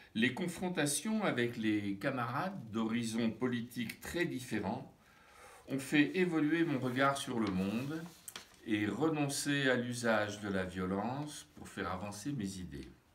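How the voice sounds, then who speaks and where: Over noticeable background noise and audible room echo, a man at a medium pitch speaks at a very slow pace with lively intonation. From France. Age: 70s. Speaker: retired psychotherapist and trainer. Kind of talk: testimony.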